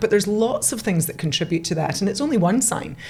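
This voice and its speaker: With a Scottish accent, a woman talks at a very fast pace. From Scotland. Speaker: nutrition expert. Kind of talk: podcast interview.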